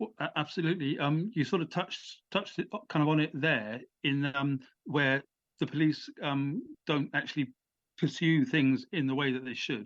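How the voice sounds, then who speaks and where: A man with an English accent speaks at a moderate pace in a fairly high pitch, with ordinary pitch variation and a quiet background. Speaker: author and former prisoner. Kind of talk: interview. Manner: halting.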